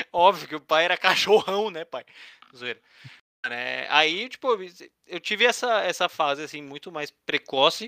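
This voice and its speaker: Using a bright, sharp tone and a high pitch with ordinary variation, a man speaks with long, frequent pauses and big swings in loudness, the recording very clean with a silent background and a dry, close sound with no echo. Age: 20s. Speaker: podcast co-host. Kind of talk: casual chat.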